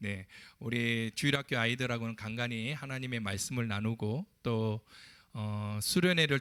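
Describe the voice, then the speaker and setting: A man at medium pitch and moderate pace with ordinary pitch variation, dry and close with no echo, on a very clean recording with a silent background. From Ulsan, South Korea. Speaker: pastor. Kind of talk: sermon. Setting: church pulpit.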